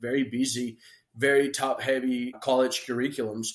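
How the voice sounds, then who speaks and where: A man with a Spanish accent talks at a medium pitch. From Colombia, grew up partly in Florida. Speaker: entrepreneur. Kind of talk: interview storytelling. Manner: halting, many repetitions.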